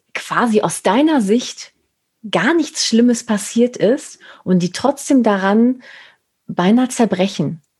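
A woman with a dark, mellow, somewhat breathy tone speaks at a very slow pace with lively intonation. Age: 40s. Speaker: podcast host and image consultant. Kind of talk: casual interview chat.

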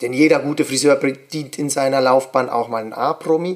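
A man's medium-pitched voice, at a fairly slow pace, with fairly even intonation. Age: 30s. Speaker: hairdresser and podcast host. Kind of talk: casual monologue podcast.

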